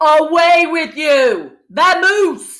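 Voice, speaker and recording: The pitch here is extremely high. It belongs to a put-on character voice. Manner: gruff, commanding.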